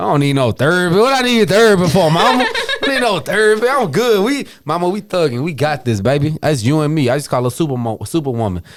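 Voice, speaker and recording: With very wide pitch swings and an animated tone, a man speaks very fast in a high pitch. Noticeable background noise sits behind him. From Virginia, US. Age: 30s. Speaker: entrepreneur. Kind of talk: casual podcast conversation.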